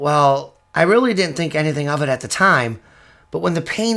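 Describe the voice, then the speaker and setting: Putting on a character voice, a man sounds raspy at a fairly high pitch and a moderate pace. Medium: audio drama. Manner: earnest, friendly.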